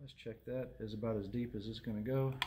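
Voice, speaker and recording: A man speaks at a fairly quick pace with a fairly low pitch. His intonation is fairly even, and background noise is noticeable. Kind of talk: tutorial. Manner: casual, conversational.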